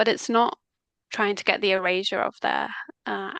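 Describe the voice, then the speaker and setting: In a Mancunian accent, a woman speaks at a moderate pace with a bright, sharp tone, the sound dry and close with no echo. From northern England, Manchester. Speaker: language coach. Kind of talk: casual chat.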